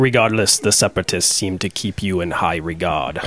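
A man uses a put-on character voice with a very deep, low pitch. He speaks at a fairly quick pace. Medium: actual play. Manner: formal, dry, slightly mocking.

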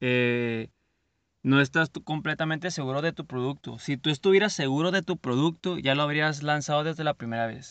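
Against a quiet background, a man talks at a moderate pace with a fairly high pitch. His pitch varies in an ordinary way, and the sound is dry and close with no echo. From Mexico, Culiacán, Sinaloa. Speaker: podcast host, entrepreneur. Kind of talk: motivational monologue. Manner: halting, with repeated words.

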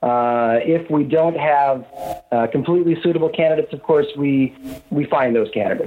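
Noticeable background noise sits under a man's voice. He speaks at a moderate pace, fairly high in pitch, with ordinary pitch variation. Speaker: recruiter. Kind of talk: casual interview.

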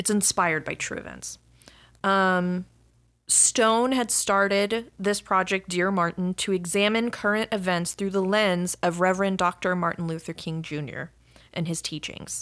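A woman with an American accent speaks at a moderate pace, her pitch medium and her intonation fairly even. It is a plain, everyday voice on a very clean recording with a silent background. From Dallas suburb, Texas. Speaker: podcast co-host. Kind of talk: casual chat.

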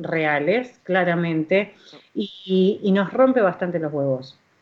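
A woman speaks in a normal speaking voice at a fairly slow pace with ordinary pitch variation. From Argentina, Buenos Aires. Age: 40s. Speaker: radio host. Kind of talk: casual chat.

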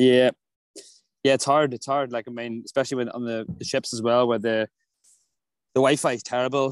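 In an Irish accent, a man at medium pitch speaks in a monotone, flat intonation at a fairly quick pace with long, frequent pauses, the sound dry and close with no echo over a quiet background. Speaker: touring singer. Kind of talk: casual chat. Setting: outdoors.

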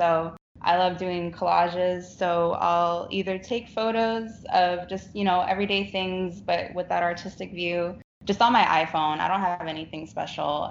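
Someone with an American accent speaks at a moderate pace in a flat monotone. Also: woman. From Rio Grande Valley, South Texas. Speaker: graphic designer and artist. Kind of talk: casual interview chat.

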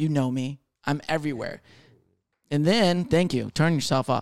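A man talks in a fairly high pitch with ordinary pitch variation. His tone is playful. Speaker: podcast co-host, comedian. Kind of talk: casual banter. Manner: joking, playful.

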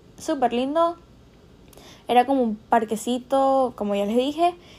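The woman's speech is fairly slow and fairly high in pitch. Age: young. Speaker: podcast host. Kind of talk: casual monologue. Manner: animated.

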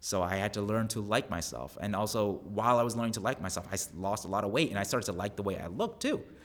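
A man with an American accent, fairly low in pitch, at a very fast pace with ordinary pitch variation. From US Northeast, Long Island, New York. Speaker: actor and physical therapist. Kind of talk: casual interview.

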